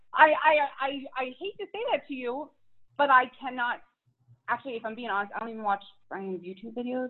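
A woman's high voice moves at a fairly quick pace with lively intonation, big swings in loudness and long, frequent pauses. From Philadelphia, US. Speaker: fitness influencer and mom. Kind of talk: casual interview chat.

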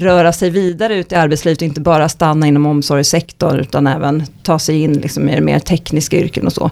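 Very deep and low in pitch, a woman talks at a fairly quick pace. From Stockholm, Sweden. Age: 40s. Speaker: economist. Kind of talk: podcast interview.

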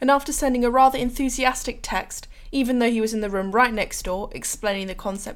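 In a very clean recording with a silent background, a woman with an English accent speaks at a fairly quick pace. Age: 18. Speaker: university student, podcast co-host. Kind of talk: scripted intro.

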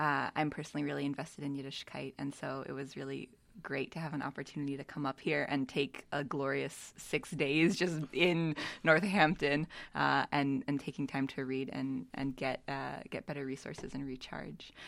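A woman's very deep, low voice with vocal fry, fairly even intonation, a moderate pace, and an American accent over a quiet background. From Philadelphia. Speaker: religious school director. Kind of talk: panel interview.

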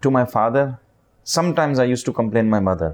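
A man with a Pakistani accent speaks at a medium pitch over a quiet background. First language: Urdu. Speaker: charity leader. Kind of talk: interview. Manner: halting.

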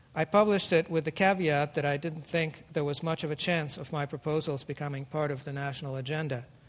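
A man with a Russian accent talks at a fairly quick pace and a fairly high pitch. His voice is somewhat breathy. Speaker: author and engineer. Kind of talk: lecture. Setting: stage with audience.

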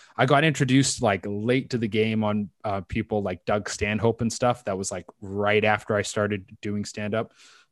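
In a normal speaking voice with a Canadian accent, a man talks at a fairly low pitch with fairly even intonation, in a dry, close sound with no echo against a quiet background. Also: moderate pace. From western Canada (British Columbia). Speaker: stand-up comedian. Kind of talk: casual chat.

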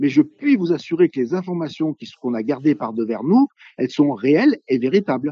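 This man's voice is fairly high and moves at a moderate pace. Its pitch swings very widely. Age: 60s. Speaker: veterinarian. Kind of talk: interview. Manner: formal.

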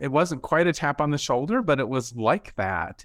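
In a very clean recording with a silent background, a man with a plain, everyday voice speaks at a moderate pace with lively intonation. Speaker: nursing education director. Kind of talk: interview.

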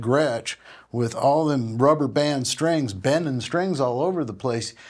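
A man with an American accent and a normal speaking voice, medium in pitch with ordinary pitch variation, at a moderate pace on a very clean recording with a silent background. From US Midwest, Minneapolis. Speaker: session guitarist and pedal steel player. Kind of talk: interview.

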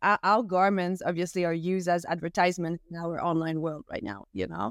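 A woman speaks in a Quebec accent at a fairly quick pace. The recording is very clean, with a silent background. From Quebec, Canada (French-speaking small town). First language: French. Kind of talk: interview conversation.

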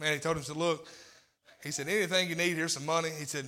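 There is audible room echo as a man with a Southern US accent speaks in a bright, sharp tone at a fairly high pitch. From Tennessee. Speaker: lay preacher. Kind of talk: sermon. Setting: church.

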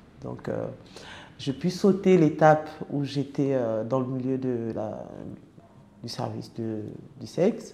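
A woman speaks at a very slow pace with long, frequent pauses, in a very deep, low pitch with a dark, mellow tone and vocal fry. Her intonation is lively, and audible room echo surrounds her voice. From francophone country abroad. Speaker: former sex worker. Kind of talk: personal testimony. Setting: around a table in an office. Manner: halting, many hesitations.

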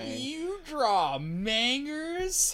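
This is a put-on character voice with a high pitch. It sounds nasal.

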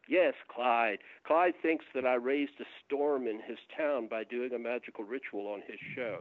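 This man has an unremarkable speaking voice with an American accent, pitched in the medium range. He talks at a moderate pace with ordinary pitch variation. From US South, Atlanta. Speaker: author and UFO researcher. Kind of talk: casual interview chat. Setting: at home, remote call.

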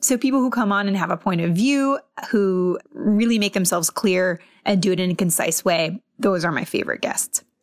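A woman with a normal speaking voice talks in an American accent, her intonation lively and her loudness very even. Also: medium pitch for a woman, moderate pace. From Massachusetts and US West Coast. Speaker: TV biotech reporter. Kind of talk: interview.

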